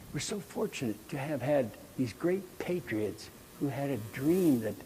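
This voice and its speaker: A somewhat breathy, medium-pitched man's voice with an American accent, fairly slow in pace and lively in intonation. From US Midwest, rural Nebraska. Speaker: choral conductor and music educator. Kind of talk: conference lecture. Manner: animated.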